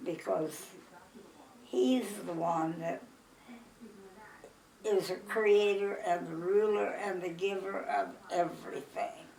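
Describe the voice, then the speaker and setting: With a Midwestern accent, a woman speaks at a very slow pace with long, frequent pauses over noticeable background noise. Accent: American Midwestern. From Iowa, USA. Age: 80s+. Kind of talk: life story interview. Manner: joyful, energetic.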